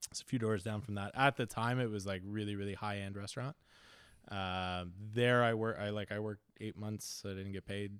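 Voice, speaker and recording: A man's fairly low voice, a normal speaking voice, at a fairly quick pace with fairly even intonation. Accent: Canadian. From Canada (Ontario). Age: 30s. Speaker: chef. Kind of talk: casual chat.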